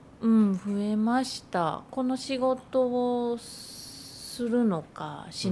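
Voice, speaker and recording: Her voice fairly high yet dark and mellow in tone, a woman speaks somewhat breathily with big swings in loudness. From Nagano, Iida (southern Nagano). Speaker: freelance designer and writer. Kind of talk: casual interview.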